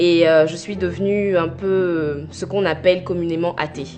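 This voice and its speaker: A woman with a fairly low pitch speaks with music in the background and audible room echo. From Côte d'Ivoire (Abidjan), teens in Normandy, France. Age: 20s. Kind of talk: testimony. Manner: hesitant, many filler pauses.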